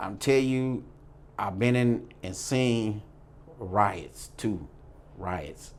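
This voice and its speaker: A man with an American accent at a medium pitch, very slow pace, long and frequent pauses, ordinary pitch variation, and audible room echo. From US Midwest, St. Louis. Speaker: former prisoner. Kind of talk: interview storytelling.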